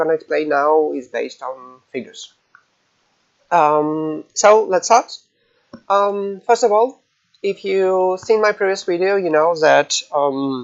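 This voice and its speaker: A man with a non-native accent speaks very slowly in a high voice, leaving long, frequent pauses. His intonation is lively. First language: not English. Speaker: gaming guide creator, alliance leader. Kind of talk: tutorial. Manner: halting, many fillers.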